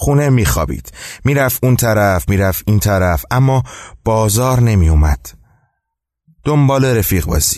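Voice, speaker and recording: Against a quiet background, a man with a fairly low pitch makes very wide pitch swings and long, frequent pauses while keeping his loudness very even. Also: fairly slow pace. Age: 20s. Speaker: storytelling podcaster. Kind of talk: storytelling narration.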